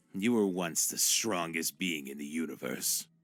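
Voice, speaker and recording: Over faint background music, a man growls in a put-on character voice pitched very deep and low. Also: moderate pace. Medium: video game. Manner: mocking, condescending.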